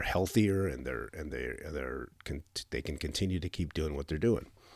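Male speech with vocal fry, recorded very cleanly against total silence. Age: 50s. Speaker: podcast host, military retiree. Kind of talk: solo podcast monologue. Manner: halting, many fillers and repeats.

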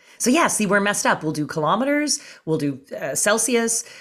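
The voice has a Canadian accent and very wide pitch swings. The pace is moderate. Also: woman. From Canada. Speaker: comedian. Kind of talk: casual chat. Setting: video call.

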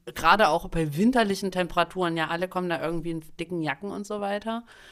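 A woman has a plain, everyday voice, fairly low in pitch, with ordinary pitch variation. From Saxony, eastern Germany (Dresden). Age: 30s. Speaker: podcast host. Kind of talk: casual chat.

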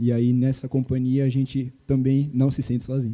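At a moderate pace, a man talks in a dark, mellow tone at a medium pitch. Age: 20s. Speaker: church youth member. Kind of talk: casual chat.

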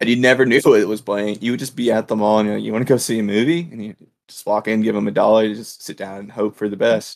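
A man speaks at a very fast pace with a fairly low pitch. His intonation is fairly even, while his loudness swings widely. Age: 20s. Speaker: law student and podcast co-host. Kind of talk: casual chat.

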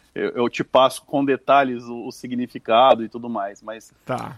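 A man is talking. His voice sounds dry and close, without any echo. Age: 40s. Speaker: advertising media director. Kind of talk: interview.

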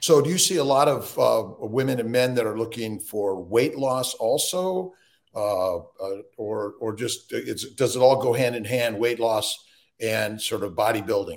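A man with a plain, everyday voice speaks at a fairly slow pace, at medium pitch and with ordinary pitch variation. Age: 60s. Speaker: physician podcast host. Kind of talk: casual interview.

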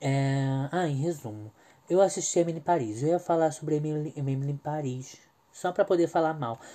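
At a moderate pace, a man talks in a fairly high pitch for a man. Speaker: podcast host. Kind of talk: casual monologue. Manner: animated.

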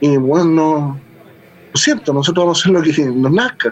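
Over music in the background, a man talks at a moderate pace and a fairly high pitch. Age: 40s. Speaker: punk musician and librarian. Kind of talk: interview. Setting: home studio.

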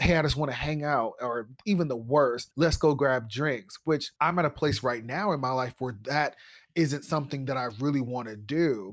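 Captured on a very clean recording with a silent background, a man talks at a moderate pace and fairly high pitch with ordinary pitch variation, in a plain, everyday voice. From Ohio. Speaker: podcast host. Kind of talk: solo monologue. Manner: casual.

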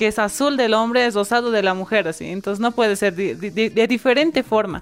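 Using a normal speaking voice, a woman talks at a fairly quick pace with fairly even intonation and fairly high pitch. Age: 20s. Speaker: youth activist. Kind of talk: interview.

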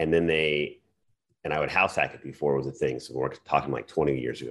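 Very deep, low-pitched man with vocal fry and an American accent. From Arizona. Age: 40s. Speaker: active duty marine and real estate investor. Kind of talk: casual interview. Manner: animated.

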